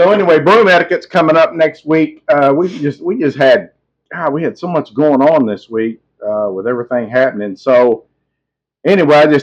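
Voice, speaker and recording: A man speaks in a plain, everyday voice at a fairly quick pace. His pitch is fairly high and his intonation lively. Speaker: podcast co-host. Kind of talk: casual chat.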